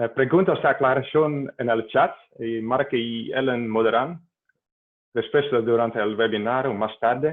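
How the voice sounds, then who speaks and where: Speaking at a fairly slow pace, a man with a Dutch accent keeps a medium pitch. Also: fairly even intonation. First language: Dutch (speaking Spanish). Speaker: hydrologist, webinar organizer. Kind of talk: webinar introduction. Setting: video call. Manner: halting, many hesitations and self-corrections.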